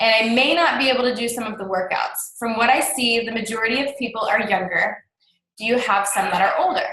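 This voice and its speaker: A woman projects a raised voice with a bright, sharp tone at a fairly quick pace. Room echo is audible. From small town. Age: young. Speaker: fitness coach. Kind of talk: live webinar presentation.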